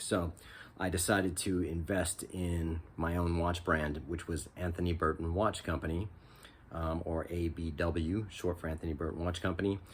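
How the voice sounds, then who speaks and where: A man with an American accent, his pitch very deep and low, somewhat breathy. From California. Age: 50s. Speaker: watch reviewer, former watchmaker and musician. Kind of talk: casual vlog talk. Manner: hesitant, many fillers.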